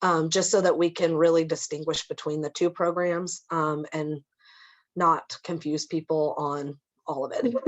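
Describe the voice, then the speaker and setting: A woman's fairly low voice with fairly even intonation and a Midwestern American accent. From Kansas, Lawrence. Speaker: social services program manager. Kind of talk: presentation.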